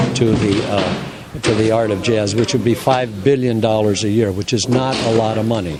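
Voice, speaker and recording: Amid noticeable background noise and audible room echo, a man talks at a moderate pace in a medium pitch. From California, San Diego. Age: 80s+. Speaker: music festival director. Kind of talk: interview. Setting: hotel. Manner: halting.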